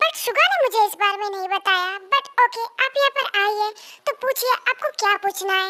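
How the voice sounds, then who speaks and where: A woman's put-on character voice at an extremely high pitch, dry and close with no echo. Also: moderate pace, ordinary pitch variation. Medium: fan dub. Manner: casual, smug.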